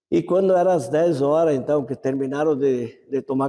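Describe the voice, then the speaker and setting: The man's voice is fairly high-pitched and dark and mellow in tone, with fairly even intonation. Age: 80s+. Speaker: elderly community member interviewed. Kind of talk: oral history interview. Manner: halting, with repetitions.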